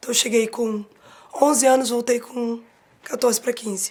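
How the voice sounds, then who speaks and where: Delivery comes at a fairly quick pace. The intonation is fairly even. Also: woman. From Brazil, Rio de Janeiro (born São Paulo). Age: 40s. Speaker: advertising professional. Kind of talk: interview testimony.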